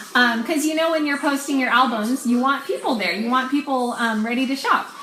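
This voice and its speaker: A woman speaks in a high voice with ordinary pitch variation. Noticeable background noise and audible room echo fill the recording. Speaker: online clothing seller and sales coach. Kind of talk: casual training talk on a live video.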